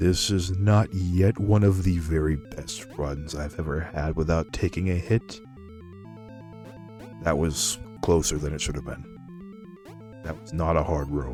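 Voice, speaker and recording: A man's very deep, low voice with lively intonation, music playing in the background. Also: fairly slow pace. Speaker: video game streamer. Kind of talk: quiet let's play commentary.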